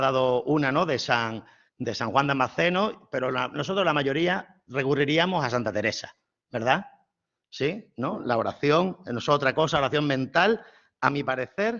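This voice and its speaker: With an Andalusian accent, a man speaks at a fairly slow pace using lively intonation. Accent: southern Spanish (Andalusian). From southern Spain, Málaga (Andalusia). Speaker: priest and theology professor. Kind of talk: lecture.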